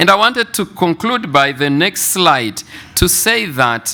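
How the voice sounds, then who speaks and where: A man's high, bright, sharp voice with a French accent, lively intonation and a very slow pace. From Congo (DRC). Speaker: mental health researcher. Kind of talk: conference presentation.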